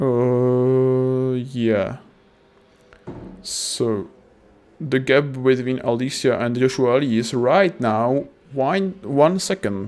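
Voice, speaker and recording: A man is speaking. He has a non-native accent. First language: not English. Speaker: sim racing commentator. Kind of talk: live commentary. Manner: halting; animated.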